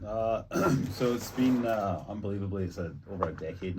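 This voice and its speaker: Speaking at a fairly quick pace with a slight Scottish accent and ordinary pitch variation, a man is heard through noticeable background noise and audible room echo. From Scotland. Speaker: luxury real estate agent, former pro golfer. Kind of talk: casual interview.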